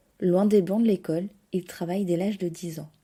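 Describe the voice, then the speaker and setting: On a very clean recording with a silent background, a woman speaks at a medium pitch and a moderate pace. Her tone is dark and mellow, her intonation fairly even. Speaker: podcast host. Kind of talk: podcast intro narration.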